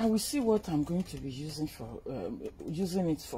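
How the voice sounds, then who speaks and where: A woman's somewhat breathy, dark, mellow voice with a fairly low pitch and very wide pitch swings, over light background noise. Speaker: vlogger showing a purchase. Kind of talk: casual vlog chat. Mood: cheerful, pleased. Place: garden.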